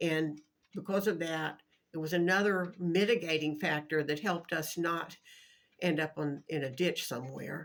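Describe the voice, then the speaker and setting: In an American accent, a woman talks at a moderate pace with a fairly low pitch and fairly even intonation. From US South, Jacksonville, Florida. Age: 60s. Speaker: vlogger. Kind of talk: casual monologue.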